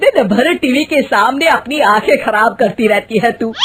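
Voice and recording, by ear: A put-on character voice from a woman, fairly high-pitched and fairly bright, with a slightly husky edge, lively intonation and a fairly slow pace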